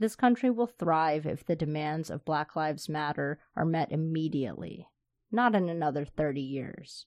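A woman with an ordinary speaking voice, fairly low in pitch, in a dry, close recording without echo. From US South. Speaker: activist and essayist. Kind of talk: reading aloud an essay.

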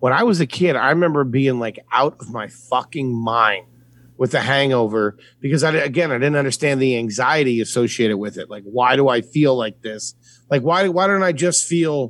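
In a very clean recording with a silent background, a man talks in an ordinary speaking voice at a medium pitch, a moderate pace, and ordinary pitch variation. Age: 20s. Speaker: stand-up comedian. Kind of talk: casual chat.

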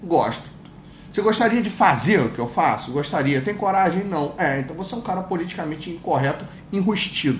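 Over noticeable background noise and audible room echo, a man talks at a fairly quick pace with a high pitch and lively intonation. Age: 30s. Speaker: copywriter and coach. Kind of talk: casual interview chat.

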